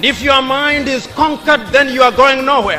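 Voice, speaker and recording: Music plays in the background as a man speaks in a raised, projected voice. His pitch is extremely high. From Kenya. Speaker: orator. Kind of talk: public speech. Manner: slow, oratorical.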